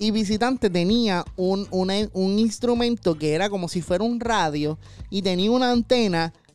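With music in the background, a man with a high pitch and a Puerto Rican accent speaks at a moderate pace. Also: ordinary pitch variation. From Puerto Rico, Caguas. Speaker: podcast host. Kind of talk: casual interview chat.

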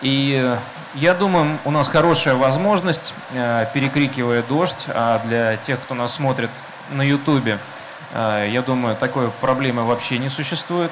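There is audible room echo and noticeable background noise. A man speaks at a medium pitch and a fairly slow pace with ordinary pitch variation. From Russia, Saint Petersburg. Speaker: panel moderator. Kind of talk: panel discussion. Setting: stage under a tent with audience, rain.

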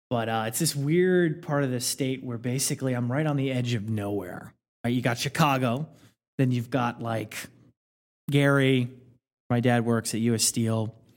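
Recorded very cleanly with a silent background, a man with a Midwestern American accent speaks with ordinary pitch variation and long, frequent pauses. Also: medium pitch for a man, moderate pace. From rural Indiana. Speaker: podcast guest. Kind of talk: casual chat.

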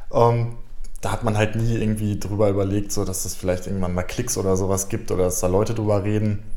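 A man with a fairly low pitch talks at a fairly quick pace, with hardly any pauses and monotone, flat intonation. There is audible room echo and noticeable background noise. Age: 20s. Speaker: YouTuber and streamer. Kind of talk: casual interview.

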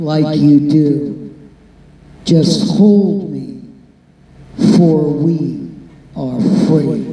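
A man at a very slow pace against noticeable background noise. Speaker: event host. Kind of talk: live event emceeing. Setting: outdoors with live audience.

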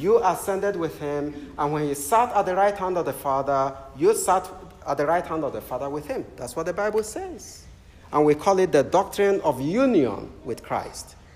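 Lively intonation runs through speech at a moderate pace over noticeable background noise. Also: man. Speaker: Anglican preacher. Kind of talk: sermon. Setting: church. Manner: warm, humorous.

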